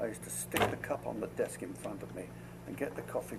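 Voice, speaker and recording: In a Cockney accent, a man speaks at a fairly quick pace. There is noticeable background noise. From London, England. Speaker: war veteran. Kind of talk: oral history interview. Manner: halting, with repetitions.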